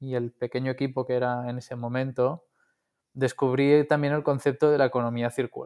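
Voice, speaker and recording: At a moderate pace, a man speaks with flat, monotone intonation. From Catalonia, Spain (coast north of Barcelona). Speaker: engineer and founder of a reusable packaging company. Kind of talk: interview. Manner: halting, with frequent repetitions.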